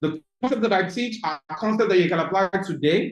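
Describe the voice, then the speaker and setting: A man speaks with a Nigerian accent. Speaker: business coach. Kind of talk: webinar talk.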